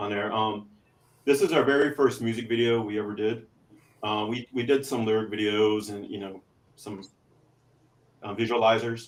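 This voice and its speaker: A man with a Texas accent, medium pitch, fairly even intonation, a moderate pace and long, frequent pauses. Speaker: podcast co-host and metal band member. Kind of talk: casual chat. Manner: hesitant, many fillers.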